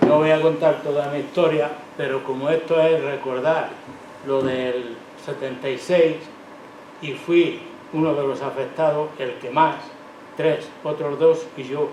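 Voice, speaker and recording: A man with a fairly high pitch speaks at a fairly slow pace in a monotone, flat intonation with long, frequent pauses. Audible room echo and noticeable background noise are present. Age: 80s+. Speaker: retired factory worker. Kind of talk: testimony. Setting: public event with audience.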